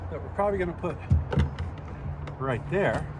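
A man speaks while loud background noise fills the recording. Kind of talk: casual vlog demonstration. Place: open country. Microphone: phone near.

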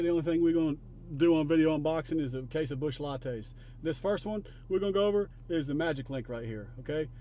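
A man talks at a fairly quick pace in a fairly high pitch. His tone is dark and mellow.

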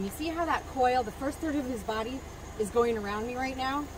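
A woman's high-pitched voice at a moderate pace with ordinary pitch variation, dry sound with no echo, and noticeable background noise. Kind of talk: demonstration explanation. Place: open country. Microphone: camera far.

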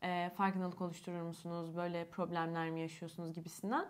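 A woman speaking at a moderate pace. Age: 20s. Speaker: YouTuber with albinism. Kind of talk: casual chat. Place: home room. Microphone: lapel.

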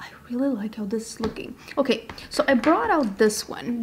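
Her fairly high voice moving at a fairly quick pace, a woman speaks with ordinary pitch variation. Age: 30s. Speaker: beauty YouTuber; beauty vlogger. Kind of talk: makeup tutorial. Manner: animated. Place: home room.

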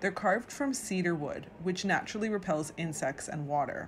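The voice is somewhat breathy, with light background noise behind it. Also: woman. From Vancouver, Canada; British Columbia, Canada. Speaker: tour guide. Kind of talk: guided tour narration to camera. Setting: outdoors and inside a museum, video. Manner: enthusiastic, friendly. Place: hall. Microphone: phone near.

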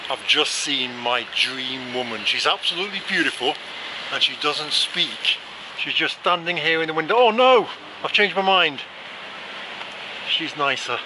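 At a moderate pace and with long, frequent pauses, a man speaks in a dry sound with no echo over noticeable background noise. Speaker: travel vlogger. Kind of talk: casual vlog chat. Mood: playful, joking. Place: street. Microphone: phone near.

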